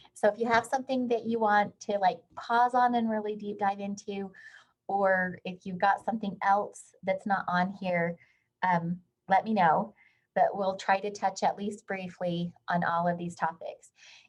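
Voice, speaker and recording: A woman's somewhat breathy, medium-pitched voice at a fairly slow pace, with fairly even intonation, against a quiet background. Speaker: HR consultant and workshop presenter. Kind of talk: webinar lecture.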